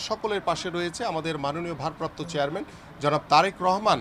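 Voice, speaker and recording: Noticeable background noise sits behind this man's voice. His pitch is fairly high, with ordinary variation. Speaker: party politician. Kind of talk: speech to press. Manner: halting; formal.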